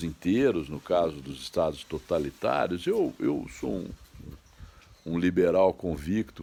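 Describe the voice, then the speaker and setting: The background is silent on a very clean recording. A man does the talking. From Franca, São Paulo state, Brazil. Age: 60s. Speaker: online commentator. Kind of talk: monologue commentary. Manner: halting.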